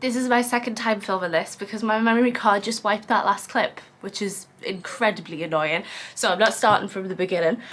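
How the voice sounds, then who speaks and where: Noticeable background noise surrounds a woman with a British accent who speaks at a fairly quick pace with ordinary pitch variation. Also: medium pitch for a woman. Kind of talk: casual talk to camera.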